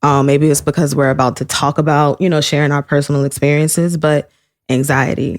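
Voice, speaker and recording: Very deep and low, a woman's voice moves at a fairly quick pace in a flat monotone. Her loudness is very even, and the sound is dry and close with no echo. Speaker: podcast co-host. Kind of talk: casual chat.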